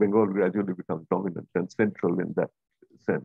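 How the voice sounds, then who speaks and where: The man's fairly low voice moves at a very fast pace with fairly even intonation, in a dry sound with no echo and a quiet background. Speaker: seminar organizer and moderator. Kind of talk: academic seminar discussion. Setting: video call. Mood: thoughtful, conversational. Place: home room. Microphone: video call.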